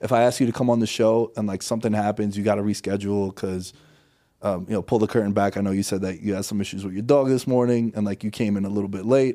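Speaking very fast with a New York accent, a man has a fairly low pitch, a dark, mellow tone and fairly even intonation. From New York City (Queens). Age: 30s. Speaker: podcast host. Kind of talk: casual chat. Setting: studio.

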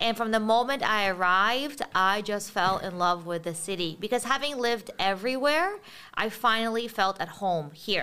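A woman talks at a moderate pace with hardly any pauses, her tone bright and sharp and her pitch fairly high with ordinary variation. The recording is very clean, with a silent background. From Israel (Beersheba), born in Ukraine. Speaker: startup founder. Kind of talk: interview.

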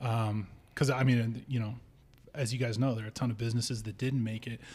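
In an American accent, a man of medium pitch talks at a moderate pace, somewhat breathy, with fairly even intonation. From Nevada, US. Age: 30s. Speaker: bar owner and punk musician. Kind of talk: casual chat.

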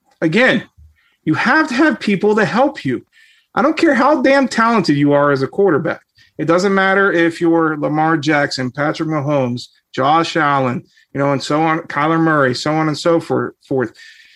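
Lively intonation runs through a man's plain, everyday voice at a fairly high pitch. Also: moderate pace. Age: 40s. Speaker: NFL analyst. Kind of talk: casual chat.

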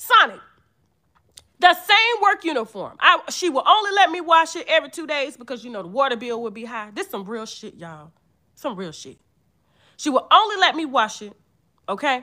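A woman's raised, projected, high-pitched voice, bright and sharp in tone and animated, at a moderate pace with very wide pitch swings, big swings in loudness, and long, frequent pauses. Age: 30s. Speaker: vlogger. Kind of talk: casual monologue.

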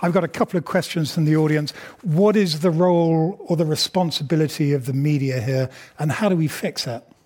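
A man with a British accent talks at a fairly quick pace. His pitch is fairly high, with ordinary variation. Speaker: journalist and moderator. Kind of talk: moderated Q&A. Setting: stage with audience. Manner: hesitant with fillers.

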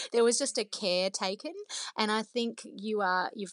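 Speaking fairly quickly, a woman with an Australian accent has a medium pitch and ordinary pitch variation, captured in a dry, close sound with no echo. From former Soviet Union, raised in Australia. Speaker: cookbook author. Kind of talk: interview.

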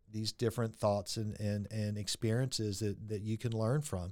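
A man speaks at a medium pitch with a Texan accent. The recording is very clean, with a silent background. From Texas (Friendswood, Houston area). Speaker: interventional radiologist. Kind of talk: interview conversation. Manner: hesitant, many fillers and repeats.

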